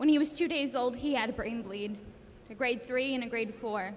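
At a moderate pace, a woman speaks in a high voice with ordinary pitch variation. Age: 20s. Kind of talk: personal testimony. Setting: school assembly with audience. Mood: earnest, emotional, grateful. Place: hall. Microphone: handheld.

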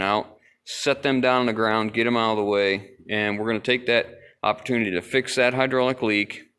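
The man keeps a fairly quick pace and fairly even intonation. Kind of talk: casual explanatory walkthrough. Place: garage. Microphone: phone near.

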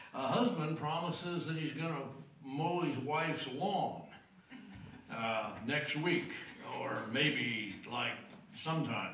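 Spoken at a very slow pace with long, frequent pauses, the clip carries audible room echo and light background noise. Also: man. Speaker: preacher. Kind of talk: sermon. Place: church. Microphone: podium.

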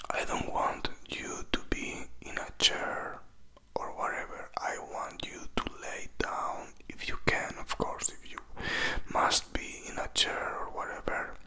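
Whispering and soft-spoken, a man speaks at a very slow pace. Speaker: ASMR creator. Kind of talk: soft whispered ASMR talk. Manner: soft close-mic whisper. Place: home room. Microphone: handheld.

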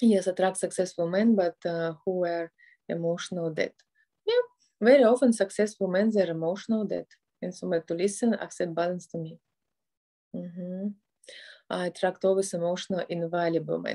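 A woman with a Russian accent speaks in a gentle, soothing, dark and mellow tone, with fairly even intonation, long and frequent pauses, and a quiet background. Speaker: family therapist and motivational speaker. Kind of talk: guided meditation. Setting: online video session with background music. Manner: slow, soft, calm instructions with pauses; gentle, soothing and directive. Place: home room. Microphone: phone near.

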